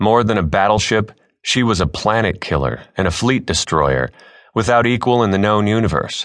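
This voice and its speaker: A man speaks in a dramatic tone with vocal fry, at a moderate pace. The background is quiet. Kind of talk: audiobook narration. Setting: studio. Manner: dramatic, measured, awestruck first-person storytelling.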